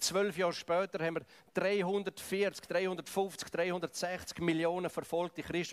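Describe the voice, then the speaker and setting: A man's high-pitched voice with a dry, close sound and no echo. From Switzerland, Graubünden. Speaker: preacher. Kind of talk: sermon.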